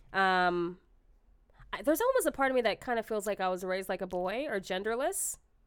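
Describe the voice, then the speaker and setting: On a very clean recording with a silent background, a woman with a medium pitch talks at a fairly quick pace with lively intonation. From Texas, Austin. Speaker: stand-up comedian. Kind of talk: casual chat. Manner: fast.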